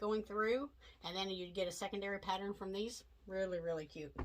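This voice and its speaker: A woman with a Southern US accent, fairly quick pace, medium pitch and ordinary pitch variation. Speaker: quilting instructor. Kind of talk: tutorial. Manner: casual, chatty.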